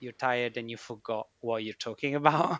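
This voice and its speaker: A man with a non-native accent speaks at a medium pitch with ordinary variation and a bright, sharp tone. The audio is dry and close, without echo. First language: not English. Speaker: chemistry researcher. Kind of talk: casual chat.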